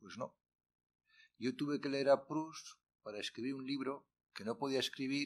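A man speaks at a fairly slow pace. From Spain, Castile. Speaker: retired literature professor. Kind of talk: workshop lecture. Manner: animated. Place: classroom. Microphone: podium.

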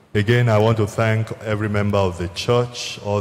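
The intonation is monotone and flat. Light background noise can be heard. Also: man. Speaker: church minister. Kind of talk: sermon. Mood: solemn, consoling. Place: church. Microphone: handheld.

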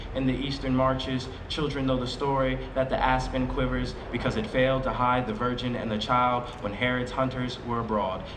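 A man's dramatic tone with monotone, flat intonation at a moderate pace, over noticeable background noise. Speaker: poet reading his selected poems; poet. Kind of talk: poetry reading at a live event, reading poems aloud. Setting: outdoor plaza event with audience. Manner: measured, expressive and rhythmic, with dramatic pauses and a shift in intensity. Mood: calm, measured, solemn. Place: street. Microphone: podium.

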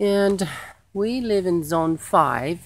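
The speaker is a woman. The sound is dry, with no echo. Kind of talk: casual garden tutorial vlog. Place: garden. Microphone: phone near.

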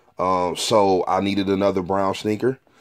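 A man talks in a fairly low pitch with monotone, flat intonation. The background is quiet. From Detroit, Michigan. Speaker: sneaker collector and reseller, YouTuber. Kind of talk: casual product review video. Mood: relaxed, pleased. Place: home room. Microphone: phone near.

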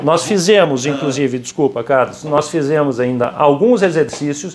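The intonation is lively and the pace moderate. Light background noise sits behind the voice. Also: man. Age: 50s. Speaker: currency exchange company founder; guest. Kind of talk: casual interview. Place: office. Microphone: lapel.

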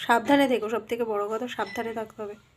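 The pitch is fairly high. The speaker is a woman. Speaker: lifestyle vlogger. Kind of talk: casual vlog talk. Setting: at home, lying in bed.

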